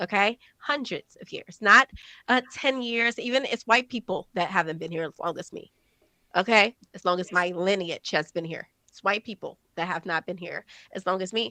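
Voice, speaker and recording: A woman's medium-pitched voice with an American accent, bright and sharp in tone, with ordinary pitch variation, big swings in loudness, a moderate pace, and a dry, close sound with no echo over a quiet background. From United States. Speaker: conservative commentator. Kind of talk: debate interview.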